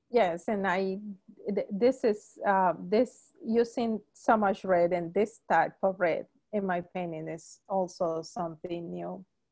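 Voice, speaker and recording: A woman speaks at a very slow pace with ordinary pitch variation against a quiet background. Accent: Spanish. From Colombia, Palmira; Colombia. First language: Spanish. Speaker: painter. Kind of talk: panel conversation. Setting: video call. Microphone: video call.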